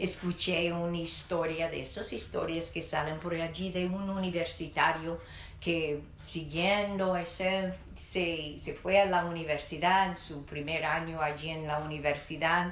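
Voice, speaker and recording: A woman speaks at a fairly slow pace in a fairly low pitch, her intonation monotone and flat. Noticeable background noise and audible room echo are present. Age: 60s. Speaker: pastor. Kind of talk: sermon.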